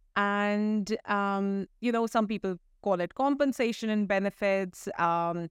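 In a plain, everyday voice with ordinary pitch variation, the speaker is heard on a very clean recording with a silent background and a dry, close sound with no echo. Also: woman. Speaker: podcast host. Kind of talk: casual interview.

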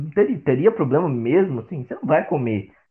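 A man at a fairly quick pace, his pitch swinging very widely. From Brazil, Osasco (São Paulo). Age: 20s. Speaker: marketing student and agency co-founder. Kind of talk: casual interview. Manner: halting, frequent repetitions.

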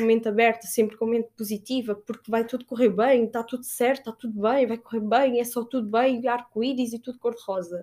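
At a very fast pace, a woman speaks with a dark, mellow tone, fairly high pitch and fairly even intonation. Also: very clean recording, silent background. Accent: European Portuguese. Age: 20s. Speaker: podcast host. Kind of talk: motivational monologue. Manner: warm, casual.

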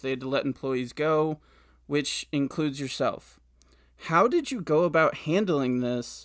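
A man with an unremarkable speaking voice and fairly high pitch talks at a moderate pace on a very clean recording with a silent background. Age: 20s. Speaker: podcast host. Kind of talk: interview.

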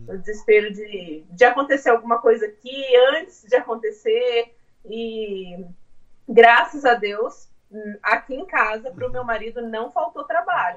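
A woman has a normal speaking voice, fairly high in pitch with ordinary pitch variation. She goes at a fairly slow pace, with big swings in loudness. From Brazil, interior of São Paulo state. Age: 30s. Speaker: homemaker, immigrant mother. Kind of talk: casual interview. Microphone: phone mic, speaking quietly.

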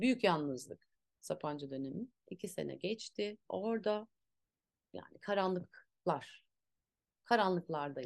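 A woman talks at a medium pitch and a very slow pace, with vocal fry, lively intonation and long, frequent pauses. Her loudness swings widely, and the sound is dry and close with no echo. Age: 40s. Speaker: actress and movement teacher. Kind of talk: casual chat. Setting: at home.

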